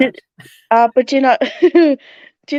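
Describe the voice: A woman with a broad Northern English accent, in a dry, close sound with no echo.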